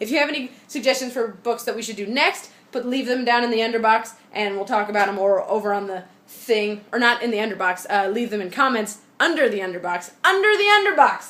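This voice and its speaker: Over noticeable background noise, an animated woman speaks at a fairly quick pace with fairly high pitch and ordinary pitch variation. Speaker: vlogger and online book club host. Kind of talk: casual vlog. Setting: at home. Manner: fast.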